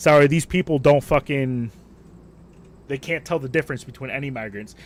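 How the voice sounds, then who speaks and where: A fairly high-pitched man moves at a fairly quick pace, his loudness swinging widely while his pitch varies in an ordinary way. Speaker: gaming streamer. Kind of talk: casual livestream rant. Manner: animated.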